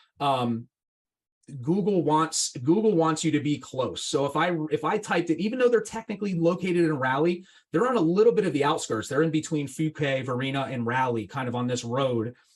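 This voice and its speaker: A man speaks at a fairly quick pace and a fairly high pitch. His intonation is lively and his tone animated. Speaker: marketing consultant and podcast host. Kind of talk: casual interview with screen-share tutorial. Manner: fast.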